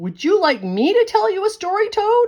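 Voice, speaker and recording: At a moderate speed, a woman uses a squeaky, put-on character voice pitched extremely high. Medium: read story.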